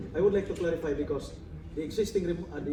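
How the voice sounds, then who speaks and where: Audible room echo surrounds a man as he speaks. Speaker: audience member. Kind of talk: Q&A question. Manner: loud. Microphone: no microphone.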